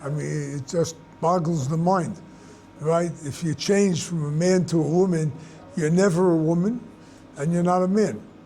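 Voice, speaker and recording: The delivery moves at a fairly slow pace. Pitch varies in an ordinary way. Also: man. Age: 80s+. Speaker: rabbi teacher. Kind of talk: question and answer talk.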